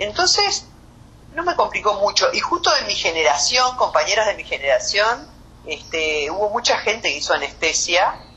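A fairly high-pitched woman's voice with very wide pitch swings at a moderate pace, over noticeable background noise. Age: 50s. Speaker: anesthesiologist. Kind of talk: interview.

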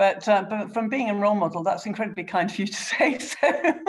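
Somewhat breathy speech moves at a moderate pace with lively intonation. The recording is very clean with a silent background. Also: woman. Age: 50s. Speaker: politician. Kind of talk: interview.

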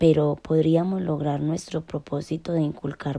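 The recording is very clean, with a silent background. A woman with a very deep, low pitch and a dark, mellow tone speaks at a fairly slow pace. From Colombia, Antioquia (Segovia). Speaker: university student. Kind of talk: scripted narration. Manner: formal.

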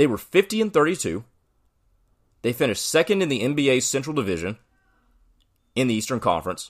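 A man with vocal fry talks at a very fast pace and a medium pitch, his voice making very wide pitch swings, in a very clean recording with a silent background. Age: 20s. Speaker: sports podcast host. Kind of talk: solo commentary podcast.

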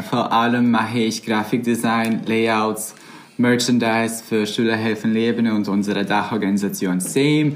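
A man speaks at a moderate pace in a medium pitch, his loudness very even, with audible room echo and noticeable background noise. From Bosnia and Herzegovina. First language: Bosnian (speaking German). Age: 20s. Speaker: volunteer campaign worker. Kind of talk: casual interview chat.

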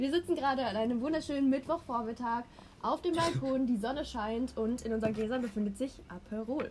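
A woman talks at a fairly quick pace in a high pitch. Her pitch varies in an ordinary way, with noticeable background noise behind her. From Baden, Karlsruhe area. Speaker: podcast host. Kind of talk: casual chat. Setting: outdoors on a balcony. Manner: laughs often.

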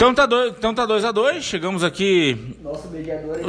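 A man at a fairly quick pace with lively intonation, against noticeable background noise. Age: 30s. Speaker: podcast host and debate moderator. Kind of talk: casual debate chat.

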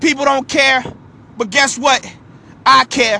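A man talks in a raised, projected voice at an extremely high pitch. His pace is fairly slow. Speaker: motivational speaker. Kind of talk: motivational talk.

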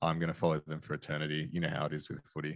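A man talks in a very deep, low voice. The sound is dry and close, with no echo. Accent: Australian. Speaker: investing podcaster. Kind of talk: casual chat. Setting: video call.

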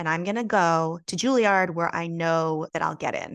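Over a quiet background, a woman with a fairly low pitch speaks at a moderate pace in a plain, everyday voice, the sound dry and close with no echo. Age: 40s. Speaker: actor. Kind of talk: casual chat.

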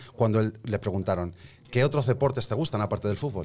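A man's medium-pitched voice, an ordinary speaking voice, with ordinary pitch variation. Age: 30s. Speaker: rapper. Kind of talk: casual chat.

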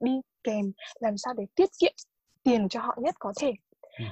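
Lively intonation and a moderate pace from a woman with a high pitch. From Vietnam. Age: 20s. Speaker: international student. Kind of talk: casual interview.

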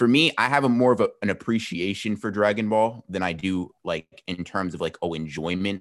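A man in a normal speaking voice, fairly low in pitch with ordinary pitch variation, at a moderate pace with hardly any pauses, on a very clean recording with a silent background. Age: young. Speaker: anime YouTuber. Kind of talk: casual chat.

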